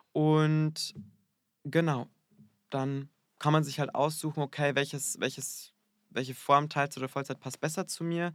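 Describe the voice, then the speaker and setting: A man with a fairly high pitch, slow and flat in a monotone with long, frequent pauses, on a very clean recording with a silent background. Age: 20s. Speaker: hairdresser. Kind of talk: interview. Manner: hesitant, many fillers.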